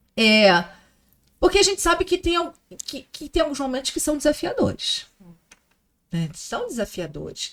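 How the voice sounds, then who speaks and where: A woman talks at a moderate pace, with big swings in loudness and long, frequent pauses. The recording is very clean and the background silent. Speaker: podcast host. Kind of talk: casual chat.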